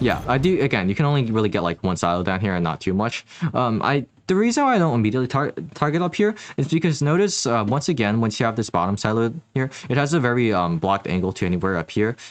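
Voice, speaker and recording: Very wide pitch swings mark this man's speech. He talks at a very fast pace. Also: medium pitch for a man, very even loudness. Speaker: gaming tutorial youtuber. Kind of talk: tutorial. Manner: hesitant, many fillers.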